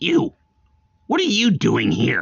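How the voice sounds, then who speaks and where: A man puts on a character voice. It is rumbling and raspy. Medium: read story. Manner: grumbling.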